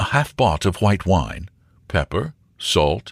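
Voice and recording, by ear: Here someone is reading aloud in a natural voice.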